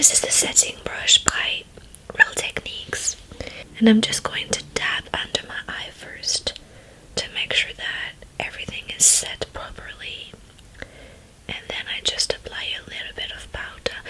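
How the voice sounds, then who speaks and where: Whispering at a fairly slow pace, a woman makes big swings in loudness over noticeable background noise. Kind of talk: ASMR makeup tutorial chit chat. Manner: whispered, soft-spoken.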